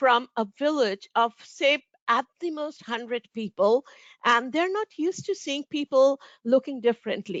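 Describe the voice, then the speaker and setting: A woman's high voice with an Indian accent, lively intonation, and a fairly slow pace. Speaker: moderator, professor. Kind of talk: panel discussion. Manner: halting.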